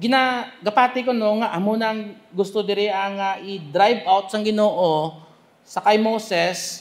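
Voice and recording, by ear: A man's high voice with ordinary pitch variation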